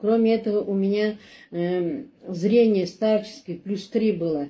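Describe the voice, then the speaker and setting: Her voice dark and mellow, a woman speaks fairly slowly at a medium pitch with ordinary pitch variation. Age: 60s. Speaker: customer giving product testimonial. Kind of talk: testimony. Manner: halting, with many fillers.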